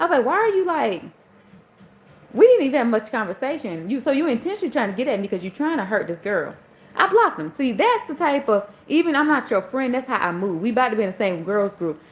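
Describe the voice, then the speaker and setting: Very fast and animated, a woman speaks at a high pitch with very wide pitch swings, noticeable background noise behind her. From US South, Charleston. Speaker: livestream host. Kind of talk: casual storytelling. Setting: live stream.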